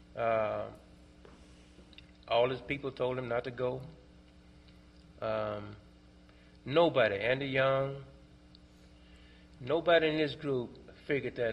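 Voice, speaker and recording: A man speaks in a Mississippi accent at a fairly slow pace. His pitch is medium, with ordinary variation. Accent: Southern US (Mississippi). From Clarksdale, Mississippi. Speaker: Vietnam veteran, foundation co-director. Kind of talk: library talk, oral history book discussion. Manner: hesitant, conversational.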